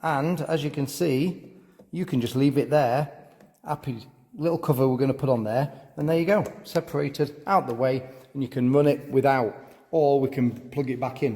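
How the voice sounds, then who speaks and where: Speaking at a moderate pace with a Yorkshire accent, a man has a fairly high, somewhat breathy voice and ordinary pitch variation. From Yorkshire, England. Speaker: car and motorbike repair vlogger. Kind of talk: casual garage tour vlog.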